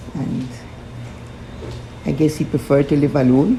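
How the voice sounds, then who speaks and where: A woman's very deep, low voice at a moderate pace with fairly even intonation, over noticeable background noise. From Belize, Belize City. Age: 80s+. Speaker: interviewee sharing family memories. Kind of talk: oral history interview.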